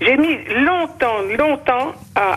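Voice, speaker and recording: A woman speaks with very wide pitch swings. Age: old. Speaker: victim's mother. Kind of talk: emotional testimony.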